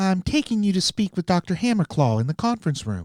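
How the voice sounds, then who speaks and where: A put-on character voice at a middle pitch moves at a fairly quick pace on a very clean recording with a silent background. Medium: read story. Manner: impatient, businesslike.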